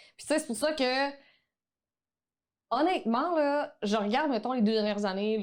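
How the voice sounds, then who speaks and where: A woman speaking at a fairly quick pace. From Quebec. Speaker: online photography teacher. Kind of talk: podcast interview.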